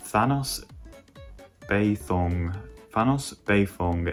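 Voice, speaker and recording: This is a man speaking. He talks with a British accent. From Britain. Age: 18. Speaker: gaming YouTuber. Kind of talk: casual Q&A chat.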